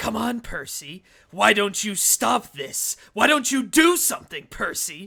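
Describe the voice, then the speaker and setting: A man speaks at a fairly slow pace in a put-on character voice pitched high. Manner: taunting, eerie.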